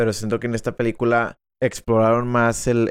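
Recorded with a dry, close sound and no echo, a man talks at a moderate pace and medium pitch over a quiet background. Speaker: film podcast co-host. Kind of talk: casual chat. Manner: loud.

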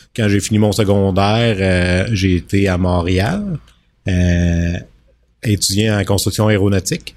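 Speaking at a fairly slow pace with a Quebec accent, a man talks in a very deep, low pitch and flat, monotone intonation on a very clean recording with a silent background. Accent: Québécois French. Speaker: business owner. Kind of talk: casual interview chat.

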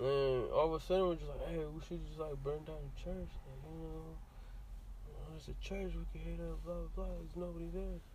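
A man speaks at a moderate pace with hardly any pauses, and the recording carries audible room echo and noticeable background noise. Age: 20s. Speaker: podcast guest, construction worker. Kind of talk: casual chat.

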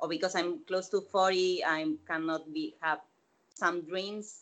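Lively intonation and a bright, sharp tone mark this voice with a Spanish accent. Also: woman. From Latin America. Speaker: opera actress and theater teacher. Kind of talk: casual interview.

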